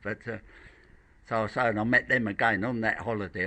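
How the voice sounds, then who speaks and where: A man speaks at a fairly quick pace with a fairly low pitch, a bright, sharp tone, and monotone, flat intonation. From Blackheath, south-east London. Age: 70s. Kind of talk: interview answer.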